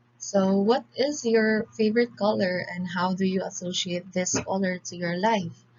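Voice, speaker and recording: With a Filipino accent, the speaker talks at a fairly slow pace in a somewhat breathy voice, with hardly any pauses. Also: woman, medium pitch for a woman, ordinary pitch variation. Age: 20s. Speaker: civil engineering student. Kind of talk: class presentation. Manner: formal.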